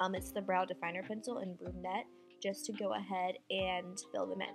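The voice moves at a moderate pace, with faint music in the background. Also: woman. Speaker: beauty vlogger. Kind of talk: tutorial. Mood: relaxed, friendly. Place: home room. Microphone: camera far.

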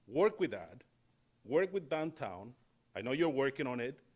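A man at a moderate pace and medium pitch, with big pitch swings

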